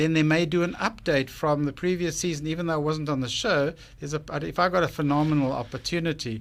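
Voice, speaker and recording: A man with a South African accent talks at a very fast pace in a fairly high pitch with ordinary pitch variation. The recording is very clean, with a silent background. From South Africa, Cape Town. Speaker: business owner pitching on TV show, radio guest. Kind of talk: radio interview.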